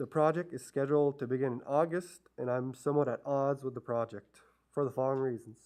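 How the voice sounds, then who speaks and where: A man talks at a very fast pace. His fairly high voice holds a fairly even intonation. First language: not English. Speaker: resident addressing town council. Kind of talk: public presentation. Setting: council chamber. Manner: hesitant, many fillers.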